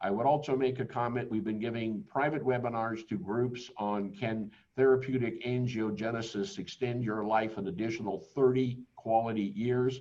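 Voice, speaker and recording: A man speaks at medium pitch with a dark, mellow tone. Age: 70s. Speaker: company executive presenting a webinar. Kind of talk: webinar presentation. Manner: halting, with repeated words and fillers.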